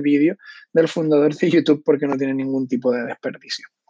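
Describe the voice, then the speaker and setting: The speech comes at a very fast pace in a monotone, flat intonation. The sound is dry and close, with no echo. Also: man. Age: 30s. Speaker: podcast host; digital strategy freelancer. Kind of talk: casual monologue. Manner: hesitant, many fillers.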